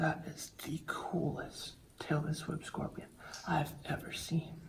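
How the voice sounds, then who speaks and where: The speaker is whispering. The pace is very slow. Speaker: wildlife vlogger. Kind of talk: narration and vlog commentary. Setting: in a bat cave; outdoors in Thailand. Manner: quiet, hushed; excited, animated.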